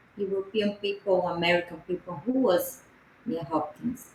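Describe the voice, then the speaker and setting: A woman in a Portuguese accent talks at a medium pitch with ordinary pitch variation. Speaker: podcast co-host and interpreter. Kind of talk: interpreting in interview.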